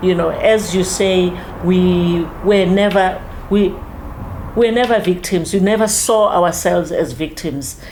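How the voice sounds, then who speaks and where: Over noticeable background noise and audible room echo, a woman speaks at a medium pitch and a fairly slow pace with ordinary pitch variation. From South Africa, Soweto (Mofolo). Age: 70s. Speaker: community elder in a civic discussion. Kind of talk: casual discussion / interview.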